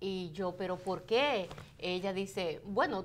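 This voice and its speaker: The speaker has a Dominican accent. The pace is fairly slow. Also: woman. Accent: Dominican, very clear pronunciation. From Dominican Republic. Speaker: radio host. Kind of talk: casual chat.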